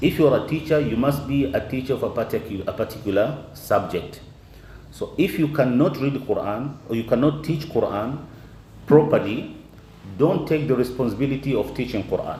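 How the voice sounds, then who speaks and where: Amid audible room echo, a man speaks at a fairly high pitch and moderate pace with ordinary pitch variation. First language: not English. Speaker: Quran teacher. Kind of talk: lecture. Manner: halting.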